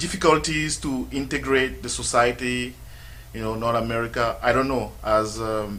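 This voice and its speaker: At a moderate pace, a man with a non-native accent speaks over noticeable background noise, his voice carrying audible room echo. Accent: noticeable foreign. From Cameroon. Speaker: radio sports show host. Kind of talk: interview. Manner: hesitant, many fillers.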